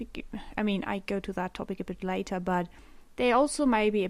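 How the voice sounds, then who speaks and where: Here a woman speaks in a German accent. Her pitch is medium, with ordinary pitch variation. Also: very clean recording, silent background. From Germany. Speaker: podcaster. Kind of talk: unscripted solo podcast monologue. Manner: halting, many pauses and fillers; rambling.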